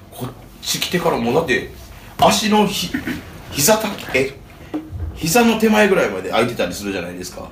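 A man speaks at a fairly quick pace with long, frequent pauses and big swings in loudness, with audible room echo and noticeable background noise. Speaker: touring band musician. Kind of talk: casual chat.

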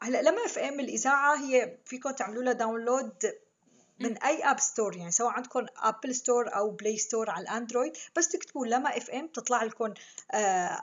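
Speaking with a Damascus accent, a woman uses a high pitch and ordinary pitch variation. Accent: Levantine Arabic (Syrian, Damascene). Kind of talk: interview.

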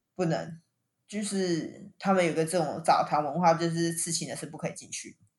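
A woman with an unremarkable speaking voice talks at a moderate pace in a fairly low pitch, her intonation fairly even but her loudness swinging widely against a quiet background. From Taiwan. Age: young. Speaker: podcast host. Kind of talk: casual chat.

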